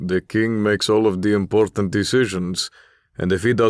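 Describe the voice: Plain reading aloud with fairly even intonation comes across a quiet background.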